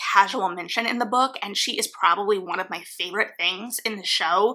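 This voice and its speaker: A woman's fairly high-pitched voice against noticeable background noise. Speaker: book reviewer. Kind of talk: video essay.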